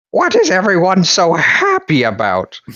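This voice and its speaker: Using a put-on character voice, a man talks at a moderate speed. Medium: read story. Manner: gruff, irritable.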